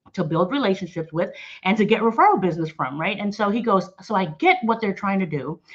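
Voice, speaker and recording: Talking at a very fast pace, a woman uses a medium pitch with ordinary pitch variation. Her voice is somewhat breathy. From New Orleans, Louisiana. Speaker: sales director. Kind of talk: interview.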